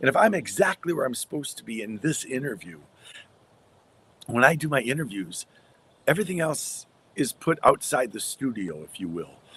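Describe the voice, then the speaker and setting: A man with an American accent speaks at a medium pitch with vocal fry, very wide pitch swings, big swings in loudness, and long, frequent pauses. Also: moderate pace. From US Midwest. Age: 60s. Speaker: radio broadcaster and story coach. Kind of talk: interview conversation.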